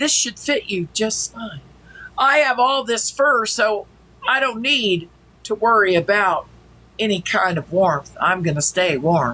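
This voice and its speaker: A female-sounding, put-on character voice at a medium pitch for a woman, delivered at a fairly slow pace. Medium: game stream.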